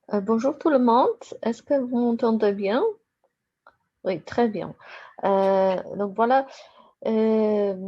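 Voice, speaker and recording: A woman's fairly high voice with a Polish accent, at a very slow pace. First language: Polish (speaking French). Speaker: university lecturer. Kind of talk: academic presentation. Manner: halting.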